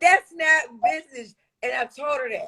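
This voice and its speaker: A woman is speaking. Her intonation is lively. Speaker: Instagram live host, business owner. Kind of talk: casual chat. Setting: Instagram live. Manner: loud.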